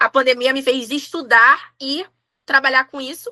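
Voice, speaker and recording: The voice is raised and projected, with a bright, sharp tone and a dry, close sound with no echo. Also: woman. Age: 30s. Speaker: tarot reader and umbanda priestess. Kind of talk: casual interview chat.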